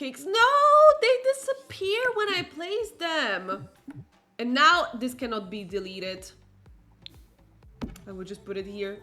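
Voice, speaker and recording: Music plays in the background as a woman talks at a fairly slow pace. Her loudness swings widely, and she leaves long, frequent pauses. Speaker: gaming streamer. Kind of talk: live gameplay commentary. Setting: live stream.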